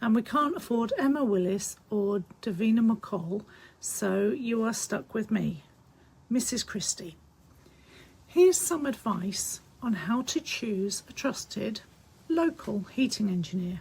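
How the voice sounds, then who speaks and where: At a fairly slow pace, a woman with a fairly high, somewhat breathy voice speaks with lively intonation. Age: 60s. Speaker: heating business co-owner. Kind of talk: informal advice talk to camera. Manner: casual, chatty.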